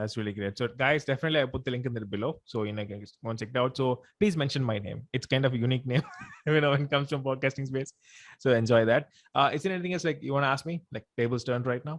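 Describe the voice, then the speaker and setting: Speaking at a very fast pace, this man has a medium pitch, ordinary pitch variation and a Tamil accent. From India. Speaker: podcast host. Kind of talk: interview. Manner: casual, hesitant with fillers.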